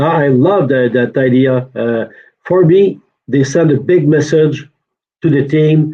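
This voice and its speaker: A man with a Quebec accent speaks at a fairly high pitch with ordinary pitch variation. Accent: French-Canadian accent in English. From Quebec, Shawinigan. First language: French. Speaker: hockey reporter. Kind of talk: casual sports chat. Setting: hotel room, video call. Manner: hesitant, many uh fillers.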